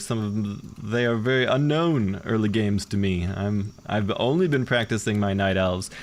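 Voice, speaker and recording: A man talks with an ordinary speaking voice at a fairly low pitch. His pace is moderate and his pitch variation ordinary. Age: 40s. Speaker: gaming streamer. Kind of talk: live commentary. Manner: casual, conversational.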